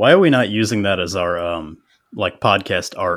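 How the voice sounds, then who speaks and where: Here is a man with a plain, everyday voice at a fairly low pitch. He keeps a moderate pace and ordinary pitch variation. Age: 30s. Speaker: podcast host, CNC maker. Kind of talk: casual chat.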